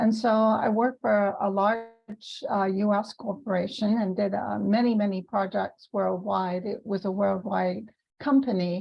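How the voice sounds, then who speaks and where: With hardly any pauses, a somewhat breathy woman speaks at a fairly slow pace, medium pitch and fairly even intonation. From UK. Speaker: business consultant and podcast host. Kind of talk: interview.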